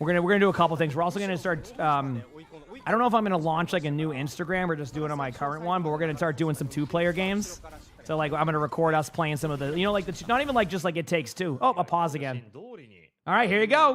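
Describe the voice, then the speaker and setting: Speaking at a very fast pace, a man with a slight Boston accent has a high pitch and ordinary pitch variation. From Massachusetts, near Boston. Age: 30s. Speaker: streamer. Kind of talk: casual chat while co-streaming esports. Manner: casual, filler-heavy, repeats words.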